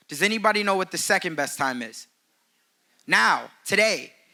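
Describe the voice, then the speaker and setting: This man's voice is high in pitch, bright and sharp, and raised and projected. He talks at a moderate pace with lively intonation. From Chicago, south side. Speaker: real estate agent and speaker. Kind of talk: conference speech. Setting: stage with audience.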